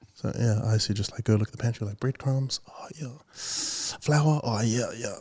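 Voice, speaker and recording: A man speaks at a moderate pace with a medium pitch. His somewhat breathy voice has ordinary pitch variation. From New Zealand. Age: 20s. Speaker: radio DJ and musician. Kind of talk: casual interview conversation.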